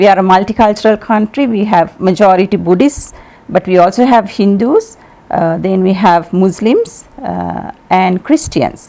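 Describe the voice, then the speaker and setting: At a moderate pace, a woman with a Sri Lankan accent speaks at a medium pitch with ordinary pitch variation. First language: Sinhala. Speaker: ambassador. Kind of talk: TV interview.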